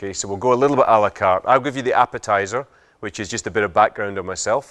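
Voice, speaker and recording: The voice carries a Scottish accent with ordinary pitch variation. The recording is very clean, with a silent background. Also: man. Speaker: business speaker, social entrepreneur. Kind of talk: talk to audience. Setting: lecture hall with audience. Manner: hesitant fillers.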